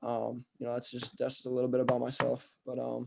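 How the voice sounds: At a fairly quick pace, a man talks with a dark, mellow tone, a medium pitch and vocal fry.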